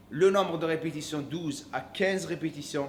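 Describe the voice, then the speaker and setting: A man with an English accent speaks fairly slowly at a high pitch, with audible room echo around him. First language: English (speaking French). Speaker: fitness coach. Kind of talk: workout tutorial. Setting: gym. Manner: hesitant, self-correcting.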